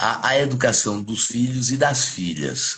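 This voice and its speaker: A man speaks in a normal speaking voice at medium pitch. His intonation is lively. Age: 60s. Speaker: criminal lawyer. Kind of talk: live interview discussion.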